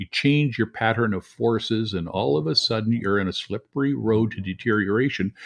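A man with a fairly low voice talks at a fairly quick pace with ordinary pitch variation against a quiet background. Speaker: dentist. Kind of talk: casual interview. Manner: calm, reassuring.

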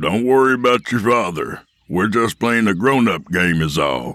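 This man uses a put-on character voice with a growl, fairly low in pitch and lively in intonation. He keeps a moderate pace and very even loudness. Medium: read story. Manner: commanding, menacing.

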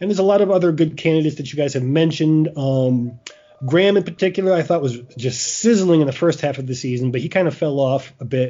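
A man at a very fast pace, fairly high in pitch, with ordinary pitch variation and noticeable background noise. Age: 40s. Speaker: podcast host and sports writer. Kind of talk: casual chat.

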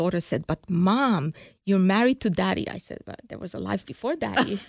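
In a Hungarian accent, a woman with a fairly low voice speaks at a fairly quick pace with lively intonation and big swings in loudness, the sound dry and close with no echo against a quiet background. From Hungary. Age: 60s. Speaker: business founder. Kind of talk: interview.

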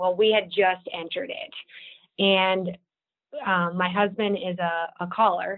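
With an Upper Midwest accent, a woman speaks at a fairly slow pace using fairly even intonation. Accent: Upper Midwest American. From South Dakota, Watertown. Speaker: state wildlife agency marketing director. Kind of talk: podcast interview.

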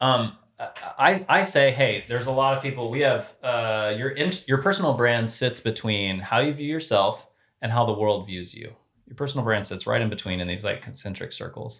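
A man speaks at a moderate pace in a plain, everyday voice with an American accent and medium pitch. His intonation is lively, with big swings in loudness. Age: 40s. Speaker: former sports brand marketing executive. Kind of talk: interview conversation.

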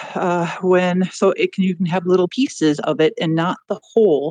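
In a dry, close recording with no echo, a woman with an ordinary speaking voice and a medium pitch talks at a moderate pace with ordinary pitch variation. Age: 40s. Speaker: biotech worker. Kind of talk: call-in discussion.

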